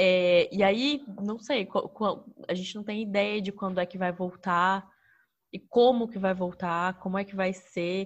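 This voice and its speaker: A woman with an unremarkable speaking voice talks at a fairly slow pace in a medium pitch, her intonation fairly even but her loudness swinging widely, against a quiet background. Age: 20s. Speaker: teacher. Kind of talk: casual chat.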